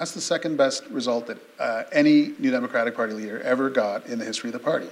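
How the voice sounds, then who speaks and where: A man with a Canadian accent talks over noticeable background noise. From Canada (Sarnia, Ontario). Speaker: journalist, interviewer. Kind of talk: onstage interview. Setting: stage with audience.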